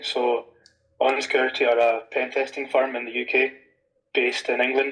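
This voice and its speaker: A man with a Scottish accent. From Scotland. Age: 20s. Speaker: penetration tester. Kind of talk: interview. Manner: casual, many fillers.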